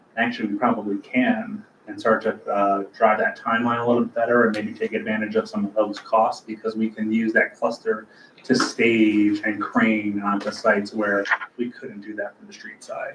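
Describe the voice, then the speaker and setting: A man speaks at a moderate pace, his loudness swinging widely, over noticeable background noise. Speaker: land bank staff member reporting to board. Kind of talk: board meeting project update. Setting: board meeting, livestreamed.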